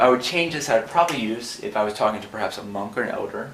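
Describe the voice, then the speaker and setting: With noticeable background noise and audible room echo, a man at medium pitch talks at a very fast pace with ordinary pitch variation. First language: not Khmer; non-native Khmer speaker. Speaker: language teacher. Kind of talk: tutorial.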